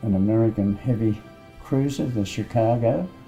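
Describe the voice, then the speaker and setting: With an Australian accent, a man speaks at a fairly low pitch and fairly slow pace, his intonation fairly even, as music plays in the background. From Australia, Sydney. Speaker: war veteran. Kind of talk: interview, recounting memories.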